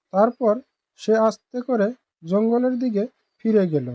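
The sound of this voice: A woman speaks at a medium pitch and a fairly slow pace, in a dry, close sound with no echo.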